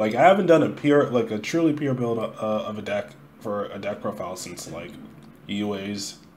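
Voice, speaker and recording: Noticeable background noise behind a male speaker with ordinary pitch variation. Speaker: card game player. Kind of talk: casual talk to camera.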